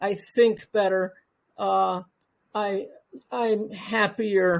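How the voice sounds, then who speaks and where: Her intonation fairly even and her pitch medium, a woman speaks at a very slow pace. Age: 70s. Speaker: retired professional, panelist. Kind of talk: panel discussion. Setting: online audio event. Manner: halting, many fillers.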